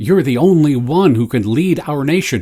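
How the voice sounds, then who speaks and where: A man speaks with an American accent at a fairly high pitch. His voice is somewhat breathy, with very wide pitch swings. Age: 70s. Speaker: commentary vlogger. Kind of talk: opinion monologue. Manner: halting.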